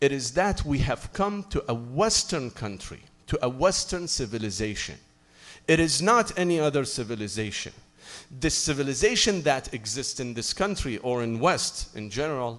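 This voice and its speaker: With a plain, everyday voice, a man talks at a moderate pace, his pitch fairly high and his intonation lively. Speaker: Islamic preacher. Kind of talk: sermon.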